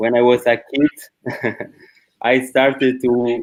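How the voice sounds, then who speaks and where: A man speaks at a medium pitch. He has an Italian accent. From Italy. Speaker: panel moderator. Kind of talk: panel discussion. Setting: live-streamed online panel.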